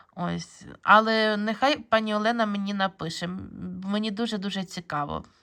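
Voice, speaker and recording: Her tone is bright and sharp. The woman keeps to a moderate pace. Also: medium pitch for a woman, fairly even intonation, very clean recording, silent background. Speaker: bead embroidery video blogger. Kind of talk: casual video blog review. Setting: filming handheld at home. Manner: hesitant, many fillers.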